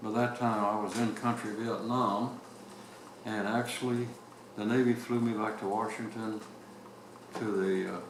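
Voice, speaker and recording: Monotone, flat speech comes with long, frequent pauses, audible room echo, and noticeable background noise. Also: man, medium pitch for a man, moderate pace. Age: 90s. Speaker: retired navy captain. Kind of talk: oral history interview. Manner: halting.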